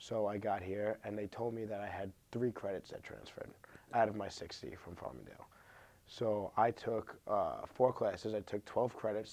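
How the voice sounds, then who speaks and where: Here a man talks at a fairly quick pace in a fairly low pitch. His tone is dark and mellow, his intonation fairly even. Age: 20s. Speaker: college student. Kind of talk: interview. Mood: frustrated but calm. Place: studio.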